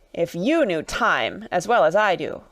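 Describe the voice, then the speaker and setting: A female-sounding, raspy put-on character voice at middle pitch moves at a moderate pace. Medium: read story. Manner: abrupt, nonsensical.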